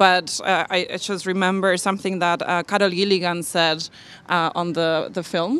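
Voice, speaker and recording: A woman speaks in a Spanish accent at a moderate pace. Her intonation is flat and monotone, and the sound is dry with no echo. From Argentina. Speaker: diversity and inclusion specialist. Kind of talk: panel discussion. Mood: thoughtful, engaged. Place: hall. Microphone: handheld.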